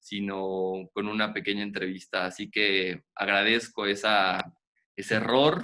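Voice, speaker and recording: A man's bright, sharp tone at a fairly slow pace, with fairly even intonation. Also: fairly low pitch for a man. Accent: Mexican. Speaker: children's reading program host. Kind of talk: interview.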